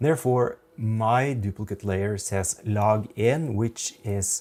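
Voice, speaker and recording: A man's fairly low voice at a very slow pace. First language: Norwegian. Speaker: photographer. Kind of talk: tutorial.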